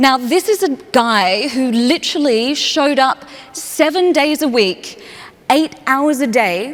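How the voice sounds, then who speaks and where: Over noticeable background noise, a woman speaks at a high pitch in an animated tone with lively intonation. Her pace is fairly slow and her loudness very even. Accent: Australian. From Australia, Perth. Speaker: human connection speaker. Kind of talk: keynote talk. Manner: animated storytelling.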